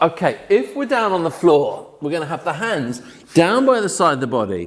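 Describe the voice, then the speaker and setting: An energetic man with a British accent, fairly high pitch and a fairly quick pace. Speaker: fitness instructor. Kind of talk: workout instruction. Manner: fast; energetic, encouraging.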